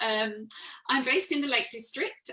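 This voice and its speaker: A woman speaking at a fairly quick pace in a fairly high pitch, over noticeable background noise. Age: 60s. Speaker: business owner and network marketer. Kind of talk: testimony.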